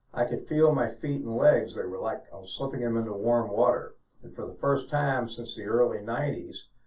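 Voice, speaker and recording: In an American accent, a man speaks at a fairly quick pace with big swings in loudness. Audible room echo surrounds his voice. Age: 70s. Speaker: retired physician and veteran. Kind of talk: testimony.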